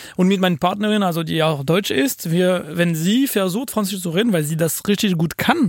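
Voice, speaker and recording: Speaking at a moderate pace with hardly any pauses, a man with a high pitch keeps his loudness very even and shows ordinary pitch variation. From France (Paris). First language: French (speaking German). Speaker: podcast co-host. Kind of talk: casual chat. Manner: halting.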